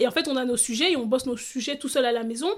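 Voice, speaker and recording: Talking at a very fast pace, a woman uses a high pitch with ordinary pitch variation. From France, Seine-Saint-Denis. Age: 30s. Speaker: lawyer and local politician. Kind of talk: interview conversation. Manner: hesitant, many fillers.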